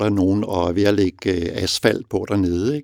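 Dry and close with no echo, a man's dark, mellow, fairly low voice moves at a moderate pace with fairly even intonation. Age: 60s. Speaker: father and reader. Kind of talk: interview.

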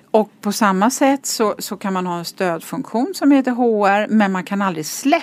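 With a plain, everyday voice, a woman speaks at a moderate pace in a fairly high pitch and with lively intonation. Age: 50s. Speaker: business executive and board member. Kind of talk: podcast interview.

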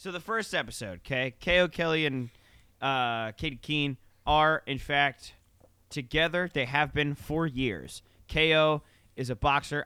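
There's a man here whose fairly high voice shows ordinary pitch variation. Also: moderate pace. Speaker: podcast co-host. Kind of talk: casual chat. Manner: loud.

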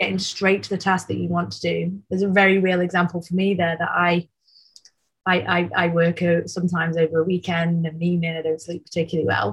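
Somewhat breathy and fairly low-pitched, a woman speaks in a Mancunian accent with fairly even intonation. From Manchester, England. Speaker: tech company founder and CEO. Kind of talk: casual interview.

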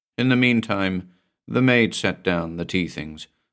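Reading aloud in a natural voice, over a quiet background

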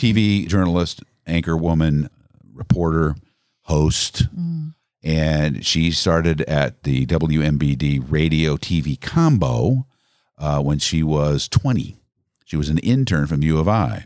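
The speaker has an American accent and ordinary pitch variation. The pace is very slow. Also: man, very deep, low pitch for a man. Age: 60s. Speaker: radio host. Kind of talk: casual interview chat, storytelling.

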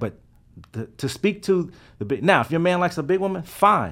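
The recording is very clean, with a silent background. A man talks. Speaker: DJ. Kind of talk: casual chat. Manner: smooth, cool and calm.

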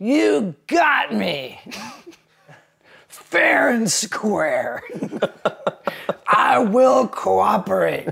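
A raspy man shouting at a very slow pace, with long, frequent pauses. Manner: screaming.

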